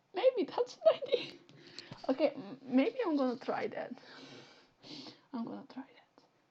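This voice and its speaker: At a moderate pace, a woman talks in a high voice. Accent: Flemish. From Flanders, Belgium. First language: Dutch (Flemish). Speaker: Twitch streamer. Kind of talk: live game stream chat. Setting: live stream.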